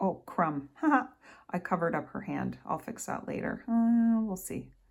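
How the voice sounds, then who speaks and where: A woman speaks at a fairly slow pace with lively intonation and a somewhat breathy voice. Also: medium pitch for a woman. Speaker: art tutorial creator. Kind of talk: tutorial. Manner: casual, thinking aloud.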